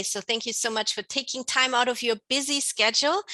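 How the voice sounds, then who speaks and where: A woman's high, bright, sharp voice with a non-native accent, ordinary pitch variation and a very fast pace, in dry, close sound with no echo. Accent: non-native-sounding. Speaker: conference host, midwife. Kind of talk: interview.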